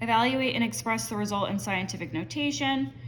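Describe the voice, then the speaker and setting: A woman at a moderate pace, her pitch in very wide swings, with audible room echo. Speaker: math teacher. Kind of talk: tutorial. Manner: casual with fillers.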